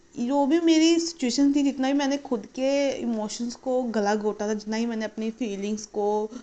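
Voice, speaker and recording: Over noticeable background noise, a woman talks in a high pitch with ordinary pitch variation. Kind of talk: casual story time talk to camera.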